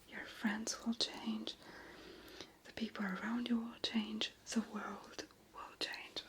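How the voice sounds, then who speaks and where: A woman whispers at a very slow pace, with long, frequent pauses. Her loudness swings widely, and background noise is noticeable. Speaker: ASMR creator. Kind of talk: motivational talk to camera, unscripted. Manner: whispered, soft, kind.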